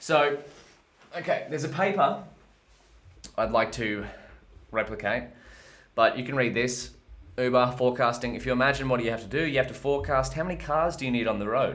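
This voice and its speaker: In an Australian accent, a man talks at a fairly quick pace broken by long, frequent pauses, with audible room echo around him. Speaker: machine learning educator streaming live coding. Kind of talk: live-streamed research and coding session. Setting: live stream. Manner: casual, erratic.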